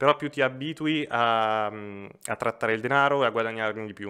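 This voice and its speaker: Over a quiet background, a man speaks with an Umbrian accent at a moderate pace. His tone is bright and sharp. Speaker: financial advisor; podcast guest. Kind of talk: casual chat. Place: studio. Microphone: studio mic.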